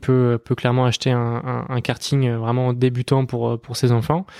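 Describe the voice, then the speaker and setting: Dry and close with no echo, the recording captures a man at a medium pitch. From western France, Les Sables d'Olonne. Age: 20s. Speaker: racing driver. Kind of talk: interview.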